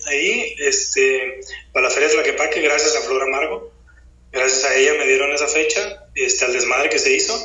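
A man with a northern Mexican accent speaks at a moderate pace and very even loudness. Noticeable background noise and audible room echo fill the recording. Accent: northern Mexican (Chihuahua). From Chihuahua, northern Mexico. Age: 30s. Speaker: rapper. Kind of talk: casual chat.

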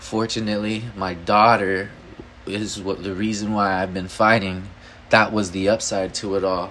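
A man's fairly low voice at a moderate pace, monotone and flat in intonation, with audible room echo. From Phoenix, Arizona. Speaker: podcast host, Marine veteran. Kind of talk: personal testimony monologue. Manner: casual, rambling with fillers.

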